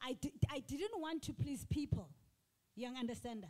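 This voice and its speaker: A woman speaks with a high pitch. Her tone is animated. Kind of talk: panel discussion.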